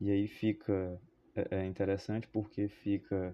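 The man delivers his words in a flat monotone. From Fortaleza, Ceará, Brazil. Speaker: philosophy teacher. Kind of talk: podcast monologue, educational. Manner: hesitant, with fillers and repetitions.

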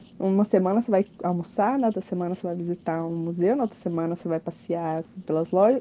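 A woman is speaking. Her tone is dark and mellow. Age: 20s. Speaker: cruise ship bar waitress. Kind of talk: recorded interview answers. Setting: aboard a cruise ship at sea.

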